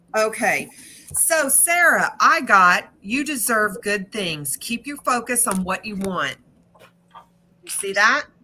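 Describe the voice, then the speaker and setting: Very slowly, a woman speaks at a fairly high pitch, her voice moving in very wide pitch swings. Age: 50s. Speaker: psychic reader. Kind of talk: live-stream card reading.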